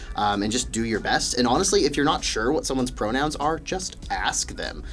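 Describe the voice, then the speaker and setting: Through noticeable background noise and audible room echo, a man with an American accent talks at a very fast pace. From US Midwest (Wichita, Kansas). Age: 20s. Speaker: graduate student and gym worker. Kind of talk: podcast interview. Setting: studio.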